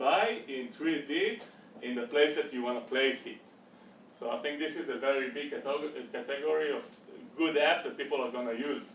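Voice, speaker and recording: Against noticeable background noise and audible room echo, a man with a fairly high pitch talks at a moderate pace with ordinary pitch variation. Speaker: meetup presenter. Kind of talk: presentation talk. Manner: halting, many fillers.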